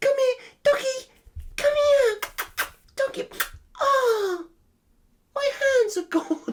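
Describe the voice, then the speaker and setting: Pausing long and often, a put-on, squeaky character voice speaks at a very slow pace and an extremely high pitch. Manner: panicked.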